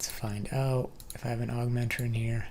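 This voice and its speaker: A man talks at a medium pitch and a fairly slow pace. Audible room echo surrounds his voice. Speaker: gaming youtuber. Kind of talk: gameplay commentary. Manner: casual.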